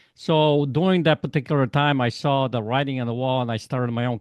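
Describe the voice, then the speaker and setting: A man with a Polish accent speaks at a fairly quick pace. His pitch variation is ordinary. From Poland. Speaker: life coach. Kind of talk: interview. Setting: podcast.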